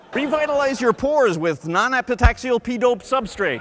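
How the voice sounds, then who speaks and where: Noticeable background noise sits behind a man with an extremely high pitch. He sounds energetic, with lively intonation and a moderate pace. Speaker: stand-up comedian. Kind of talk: corporate stand-up comedy. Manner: bright, energetic.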